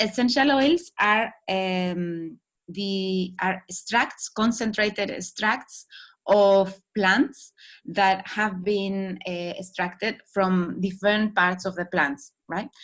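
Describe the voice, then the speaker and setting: Speaking very slowly with a Spanish accent, a woman keeps a medium pitch and ordinary pitch variation in a very clean recording with a silent background. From Spain. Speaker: holistic wellbeing coach. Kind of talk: talk. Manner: halting.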